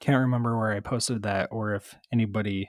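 There is no echo, and the sound is dry and close. A man speaks at a moderate speed. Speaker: fantasy football podcast host. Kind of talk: casual solo commentary. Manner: low energy.

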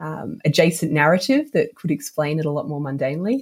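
With an Australian accent, a woman talks at a moderate pace. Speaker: novelist. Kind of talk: interview. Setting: remote call from Australia.

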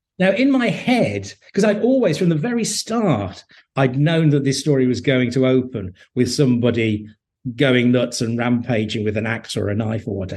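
Here a man speaks at medium pitch and a moderate pace. His voice is somewhat breathy, with lively intonation. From English Midlands, Hednesford, Staffordshire. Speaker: TV and novel writer, former journalist. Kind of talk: interview conversation. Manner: hesitant, many fillers and repetitions.

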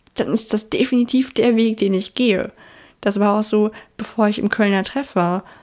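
A woman's mumbling with fairly even intonation. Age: 20s. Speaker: podcast host. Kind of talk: casual monologue.

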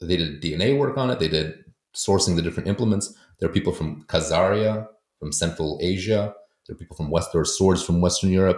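At a fairly quick pace, a man with an American accent and a very deep, low pitch speaks with ordinary pitch variation. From US, with schooling in Poland. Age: 40s. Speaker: historian and author. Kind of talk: interview.

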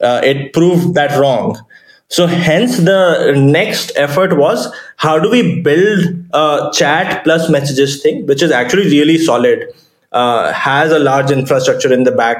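With an Indian accent, a man speaks fairly slowly at a fairly high pitch, his intonation lively and his loudness very even. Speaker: startup founder. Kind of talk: interview.

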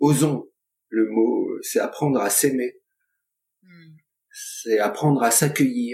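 A man talks at a very slow pace with long, frequent pauses. His loudness rises and falls sharply. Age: 60s. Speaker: colleague of the host, guest speaker on friendship. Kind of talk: casual chat. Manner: hesitant.

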